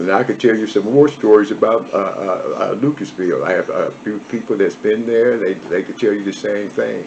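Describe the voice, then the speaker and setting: A man with an American accent at a moderate pace, amid noticeable background noise. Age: 70s. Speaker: former prisoner, barber. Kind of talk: interview, life story. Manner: halting.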